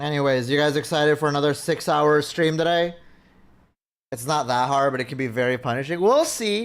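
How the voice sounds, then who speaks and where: A man with a normal speaking voice talks fairly quickly at a fairly high pitch with ordinary pitch variation, in a very clean recording with a silent background. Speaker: vtuber streamer. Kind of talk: live game stream chat. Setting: live stream.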